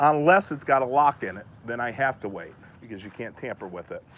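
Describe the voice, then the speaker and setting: A man is speaking. His pace is very fast. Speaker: plumber. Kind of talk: on-site explanation to a customer.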